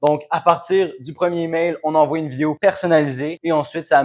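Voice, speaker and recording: A man with a Quebec accent, fairly high-pitched, at a fairly quick pace. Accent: Québécois French. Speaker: B2B sales consultant. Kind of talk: business explainer to camera. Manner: casual, conversational.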